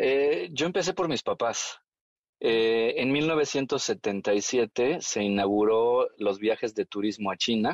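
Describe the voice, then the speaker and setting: Delivered at a very slow pace, this voice has lively intonation and very even loudness, with a dry, close sound, no echo and a quiet background. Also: man, medium pitch for a man. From Mexico. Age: 40s. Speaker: tai chi teacher. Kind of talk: interview.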